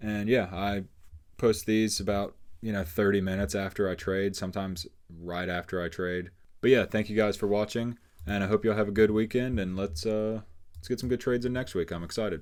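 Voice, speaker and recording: A man's fairly low voice, fairly quick in pace, with fairly even intonation. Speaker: day trader. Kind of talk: trade recap tutorial. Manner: fast; casual.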